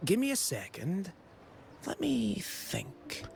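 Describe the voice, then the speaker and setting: A man's put-on character voice, fairly high in pitch, at a very slow pace over clear background noise. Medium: video game. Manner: chatty, excited.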